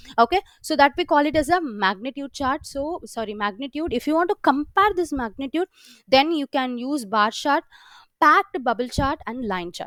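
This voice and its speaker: A woman's high pitch with very wide pitch swings, dry and close with no echo. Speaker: software trainer. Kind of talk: live training session. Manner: fast; halting with fillers.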